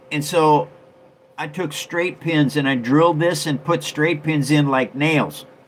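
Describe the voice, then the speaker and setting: The speech moves at a fairly slow pace in a monotone, flat intonation over light background noise. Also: man. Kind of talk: casual livestream show and tell. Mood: relaxed, friendly. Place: home room. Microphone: phone near.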